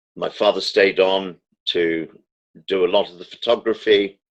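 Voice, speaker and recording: In a British accent, a man speaks at a fairly low pitch. His intonation is monotone and flat. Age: 70s. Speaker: political commentator. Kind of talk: interview. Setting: phone call. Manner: formal.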